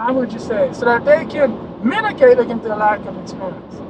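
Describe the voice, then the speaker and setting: Speech moves at a moderate pace while noticeable background noise carries on underneath. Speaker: insurance adjuster trainer. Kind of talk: video rant. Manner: loud.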